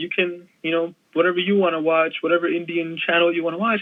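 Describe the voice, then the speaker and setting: Speaking very fast, a man uses a high-pitched voice. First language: Punjabi. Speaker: wrestling media creator. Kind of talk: casual chat.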